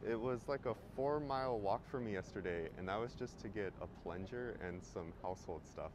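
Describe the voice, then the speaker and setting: A man talks at a fairly quick pace, the sound dry with no echo and noticeable background noise underneath. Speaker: travel vlogger. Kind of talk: casual vlog chat. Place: street. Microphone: phone near.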